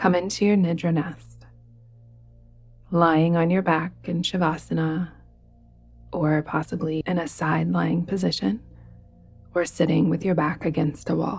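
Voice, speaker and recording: With music in the background, a woman with a fairly low pitch speaks in a calm tone at a fairly slow pace, using fairly even intonation, very even loudness and long, frequent pauses. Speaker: yoga nidra guide. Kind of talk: guided meditation. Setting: soft background music with bells. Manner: calm, soft-spoken, slow.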